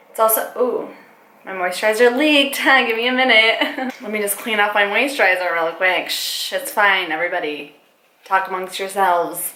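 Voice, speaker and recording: Moderate-paced talk from a woman, with audible room echo and noticeable background noise. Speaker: makeup artist and beauty vlogger. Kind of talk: makeup tutorial vlog. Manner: casual, rambling, self-conscious.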